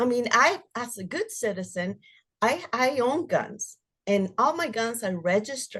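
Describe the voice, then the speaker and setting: A woman speaks at a moderate pace in a high pitch, her voice swinging very widely in pitch. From Mexico (Jalisco), raised from age 11 in South Phoenix. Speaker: domestic violence survivor. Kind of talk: interview testimony.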